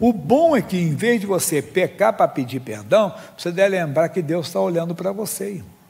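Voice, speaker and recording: A man with a high voice and lively intonation speaks at a moderate pace. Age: 60s. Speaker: pastor. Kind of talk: sermon.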